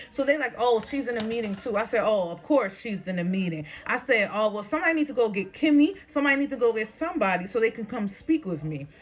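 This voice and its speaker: A woman speaks very fast in a fairly high voice with hardly any pauses. Her pitch swings very widely over noticeable background noise. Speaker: vlogger. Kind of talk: storytime rant. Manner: animated.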